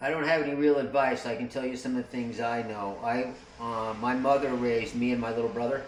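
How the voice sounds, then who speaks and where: Speaking very fast with fairly even intonation, a man at medium pitch comes through audible room echo and noticeable background noise. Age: 60s. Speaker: motorcycle traveler and video maker. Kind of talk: casual conversation. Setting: motorcycle shop. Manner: relaxed.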